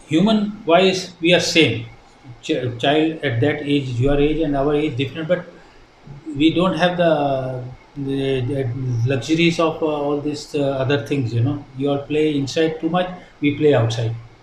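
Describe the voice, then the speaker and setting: A man's fairly high voice at a fairly slow pace, with ordinary pitch variation, noticeable background noise and audible room echo. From India, Punjabi-speaking. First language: Hindi and Punjabi. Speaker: retired ship captain, shipping company director. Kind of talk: interview. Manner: hesitant, many fillers.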